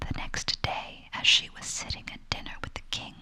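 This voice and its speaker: The speaker is whispering in a gentle tone. Noticeable background noise sits behind the voice. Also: woman. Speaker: ASMR storyteller. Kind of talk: whispered bedtime story reading. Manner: whispered, soft-spoken, gentle.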